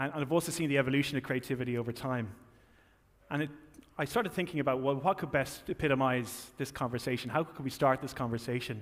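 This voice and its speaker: A man with an Irish accent at a very fast pace, with ordinary pitch variation, in a very clean recording against a silent background. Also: medium pitch for a man. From Ireland. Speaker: tech company marketing executive. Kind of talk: keynote speech. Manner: halting, with frequent fillers and repetitions.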